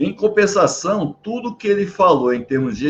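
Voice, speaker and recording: A man talks at a moderate pace. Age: 60s. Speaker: maintenance consultant and interviewer. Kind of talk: interview. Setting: at home.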